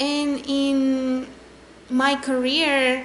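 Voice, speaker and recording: A woman speaks with a Spanish accent. Her pitch is high, with noticeable background noise. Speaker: chemical engineer reacting to a TV show. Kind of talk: casual vlog chat. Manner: halting, with self-corrections.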